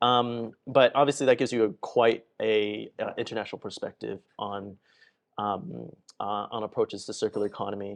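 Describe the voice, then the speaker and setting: In a normal speaking voice, a man with an American accent talks at medium pitch and a moderate pace, with ordinary pitch variation and a quiet background. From United States. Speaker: panel moderator. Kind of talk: panel Q&A.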